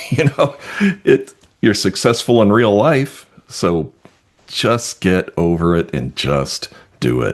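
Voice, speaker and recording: A man speaks at a very slow pace with long, frequent pauses. His fairly low pitch makes very wide swings, and his voice has vocal fry. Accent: American. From New York. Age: 60s. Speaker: realtor and webinar co-host. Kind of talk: casual chat.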